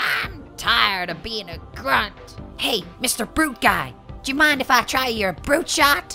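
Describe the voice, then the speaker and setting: Someone performs a put-on character voice at a fairly slow pace, with clear music in the background. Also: man, extremely high pitch for a man. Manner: panicky, whiny.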